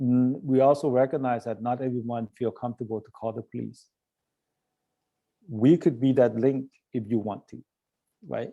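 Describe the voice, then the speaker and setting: At a moderate pace, a man with a medium pitch and a dark, mellow tone speaks with fairly even intonation and long, frequent pauses. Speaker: nonprofit director giving a talk. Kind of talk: presentation to a club. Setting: club meeting. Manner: hesitant with fillers; voice a little shaky.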